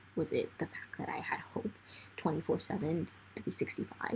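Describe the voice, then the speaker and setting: Whispering moves along at a moderate pace. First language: not English. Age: 20s. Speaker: vlogger. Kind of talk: casual monologue. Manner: rambling casual, filler-heavy.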